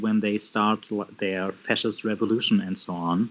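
A man with a German accent talks in a monotone, with flat intonation. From Germany, Bremen (northwest). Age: 30s. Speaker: social worker and communist party member. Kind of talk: casual interview conversation. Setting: remote call. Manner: halting, many fillers.

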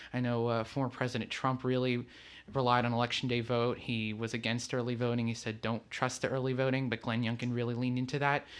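A man speaks very fast at a medium pitch, in a flat monotone with very even loudness. The recording is very clean, with a silent background. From Portugal. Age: young. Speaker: student, campaign volunteer. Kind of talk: interview.

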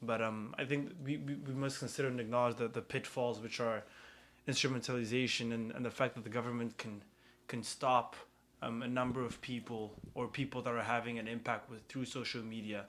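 This is a plain, everyday voice. It speaks at a fairly quick pace with fairly even intonation. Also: man. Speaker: student radio host. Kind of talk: radio panel discussion. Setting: radio studio.

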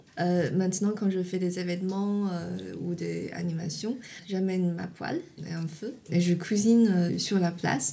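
A woman's fairly low, somewhat breathy voice with a dark, mellow tone and a Chinese accent, at a fairly slow pace, with audible room echo. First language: Chinese (speaking French). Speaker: tofu producer. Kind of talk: interview. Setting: at home in countryside. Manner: halting.

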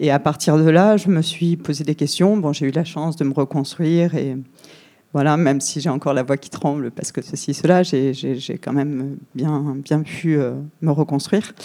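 In a very clean recording with a silent background, a woman with a very deep, low pitch and a dark, mellow tone speaks shakily at a fairly slow pace with fairly even intonation. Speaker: audience member. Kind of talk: testimony. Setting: public event with audience. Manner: trembling voice.

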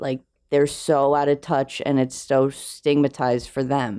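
Monotone, flat intonation in a dark, mellow tone comes through over a quiet background. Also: woman. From New Jersey, then rural Pennsylvania from 13. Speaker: visual artist. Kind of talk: casual chat. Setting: studio.

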